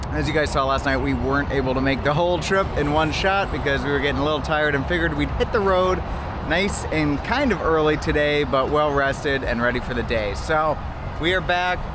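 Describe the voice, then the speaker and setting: Noticeable background noise can be heard. The sound itself is dry, without any echo. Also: man, ordinary pitch variation, fairly quick pace. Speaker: car vlogger. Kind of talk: casual vlog chat. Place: street. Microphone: phone near.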